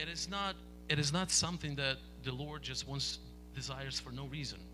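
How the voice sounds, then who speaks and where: With a Ukrainian accent, a man speaks at a fairly quick pace. Music plays in the background, and there is audible room echo. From Ukraine. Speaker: interpreter. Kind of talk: sermon interpretation.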